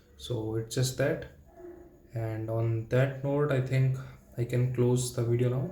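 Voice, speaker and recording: His voice sits at a medium pitch, with a dark, mellow tone that is somewhat breathy. This man speaks in a flat monotone. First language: not English. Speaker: language learner vlogger. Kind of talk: solo practice monologue. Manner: halting.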